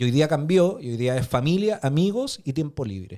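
A man speaks with a Chilean accent, his dark, mellow tone carried by lively intonation. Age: 30s. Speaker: podcast co-host. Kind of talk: casual chat.

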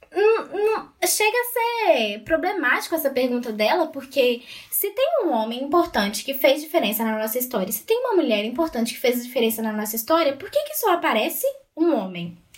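A woman speaks at a moderate pace in a high pitch, with very wide pitch swings and big swings in loudness. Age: 20s. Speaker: student and feminist activist. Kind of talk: casual chat.

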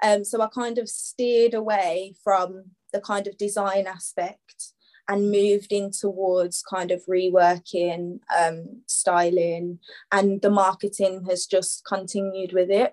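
A woman with a Birmingham accent talks at a medium pitch and a fairly slow pace in a monotone, flat intonation. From Birmingham, England. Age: 20s. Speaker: fashion stylist and upcycling brand owner. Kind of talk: podcast interview.

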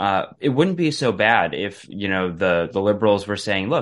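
A man with a normal speaking voice talks at a fairly low pitch and a moderate pace. His intonation is lively, and the background is quiet. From Wisconsin, US Midwest. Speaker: energy policy researcher. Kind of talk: radio interview.

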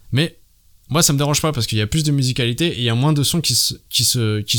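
A man's medium-pitched voice at a very fast pace, in a very clean recording with a silent background. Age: 30s. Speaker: podcast host. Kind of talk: solo commentary monologue.

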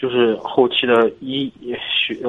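Pitch for this male speaker lands in the middle range. He is the one talking. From Hebei, Zhangjiakou. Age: 20s. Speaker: caller, college student. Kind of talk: casual chat. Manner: halting.

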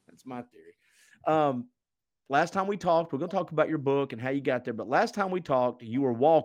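A man's unremarkable speaking voice, fairly high and fairly quick, with lively intonation and big swings in loudness, over a quiet background. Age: 50s. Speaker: podcast host. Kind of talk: casual chat.

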